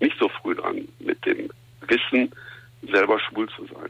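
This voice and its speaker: A man is talking. His pace is moderate. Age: 50s. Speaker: tournament founder and former police officer. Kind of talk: radio interview. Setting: phone call. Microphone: phone line.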